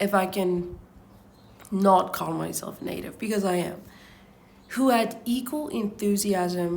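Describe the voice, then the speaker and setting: A woman's somewhat breathy voice at medium pitch, fairly slow, with audible room echo. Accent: non-native. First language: not English. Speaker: book reader vlogger. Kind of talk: casual chat and reading aloud. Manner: halting, stumbling over words.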